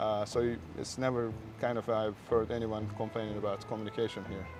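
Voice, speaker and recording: Over noticeable background noise, a man with a Turkish accent talks at a fairly quick pace. His pitch is fairly low and his intonation monotone and flat. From Turkey. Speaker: restaurant owner. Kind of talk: interview. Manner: halting.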